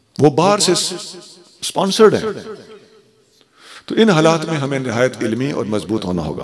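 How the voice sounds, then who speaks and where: A man with a fairly high pitch swings very widely in pitch and leaves long, frequent pauses. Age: 60s. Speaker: Islamic scholar. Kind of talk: religious speech. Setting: stage in a mosque with audience.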